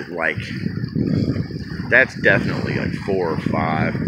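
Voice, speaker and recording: Loud background noise fills the clip. A man talks at a moderate pace, the sound dry with no echo. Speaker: vlogger. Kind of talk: casual vlog chat. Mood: amused storytelling, laughing. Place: waterside. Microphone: phone near.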